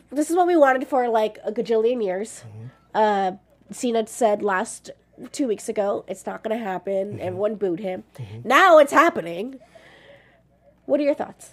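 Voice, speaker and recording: An unremarkable speaking voice from a woman, fairly high in pitch, at a moderate pace, with lively intonation and big swings in loudness. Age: 30s. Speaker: show host. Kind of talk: casual chat.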